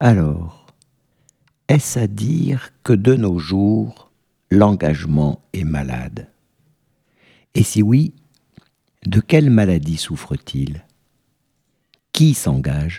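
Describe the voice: The voice is dark and mellow with a slightly husky edge and vocal fry, moving at a slow pace with long, frequent pauses and big pitch swings, in a dry, close sound with no echo. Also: man, low pitch for a man.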